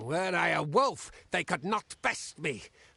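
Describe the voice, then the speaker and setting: A man's put-on character voice at a high pitch, against a quiet background. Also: fairly slow pace. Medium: video game. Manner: simple, halting speech.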